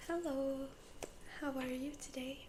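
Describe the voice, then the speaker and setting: A woman whispers, soft-spoken, at a very slow pace. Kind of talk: ASMR interview-style personal questions to camera. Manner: soft-spoken, whispering.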